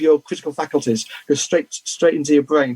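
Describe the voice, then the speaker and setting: A man with a British accent talks at a fairly quick pace in a dark, mellow tone, the sound dry and close with no echo. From Britain. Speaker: comics news publisher and gossip columnist. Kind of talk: interview. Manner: halting, frequent repetitions and fillers.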